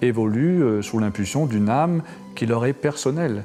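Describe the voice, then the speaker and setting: A man talks fairly slowly. There is music in the background. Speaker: spiritual order leader. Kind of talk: interview answer.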